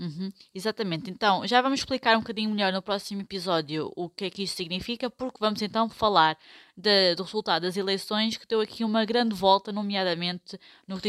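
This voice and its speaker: In a normal speaking voice, a woman talks at a fairly quick pace with medium pitch and ordinary pitch variation, the sound dry and close with no echo. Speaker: podcast host, Portuguese teacher. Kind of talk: educational podcast chat.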